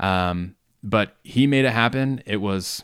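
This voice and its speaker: Here is a man with a plain, everyday voice, pitched fairly low. His pitch varies in an ordinary way, and the recording is very clean with a silent background. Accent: American. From US South, Georgia. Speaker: podcast co-host. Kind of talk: casual chat.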